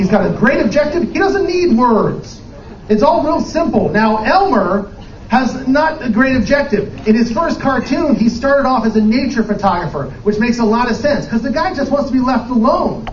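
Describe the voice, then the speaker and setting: Over noticeable background noise, a man with an American accent and an extremely high pitch speaks at a moderate pace with lively intonation. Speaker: improv performer and corporate trainer/speaker. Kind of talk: conference lightning talk, humorous and lively presentation to a live audience. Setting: live stage event with audience. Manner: energetic, jokey, conversational with filler words.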